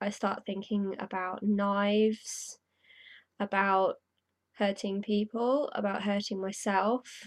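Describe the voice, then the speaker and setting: Over a quiet background, a woman speaks very slowly with monotone, flat intonation. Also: medium pitch for a woman. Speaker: video blogger on mental health. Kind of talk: personal vlog testimony. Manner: halting. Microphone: poor netbook webcam mic.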